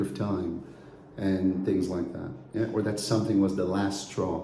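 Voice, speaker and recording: With a Brazilian accent, a man talks at a moderate pace in a fairly low, flat, monotone voice. Audible room echo and noticeable background noise surround him. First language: Brazilian Portuguese. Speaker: English teacher. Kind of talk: course introduction. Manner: conversational, with frequent fillers.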